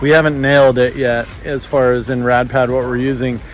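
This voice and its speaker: Noticeable background noise runs through the clip. A man speaks at medium pitch. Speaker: vlogger and business owner building modular housing. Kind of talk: casual vlog narration. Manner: loud.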